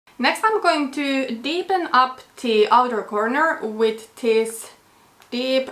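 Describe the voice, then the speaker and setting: Over noticeable background noise, a woman speaks at a very slow pace in a high pitch with lively intonation. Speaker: beauty vlogger. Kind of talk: casual chat.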